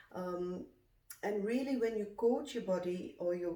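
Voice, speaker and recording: Noticeable background noise and audible room echo around a woman's voice. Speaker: nutritionist and detox coach. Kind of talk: cooking tutorial vlog. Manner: slightly slurred, hesitant with fillers.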